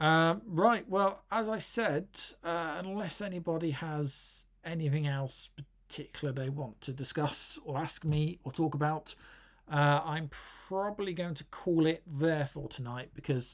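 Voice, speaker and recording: Someone with an English accent speaks at a fairly slow pace. The recording is very clean, with a silent background. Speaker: tech YouTuber. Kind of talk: live stream chat. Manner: halting, many fillers.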